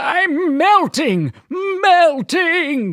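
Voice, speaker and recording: Someone performs a put-on character voice at an extremely high pitch. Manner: dramatic, drawn-out wail.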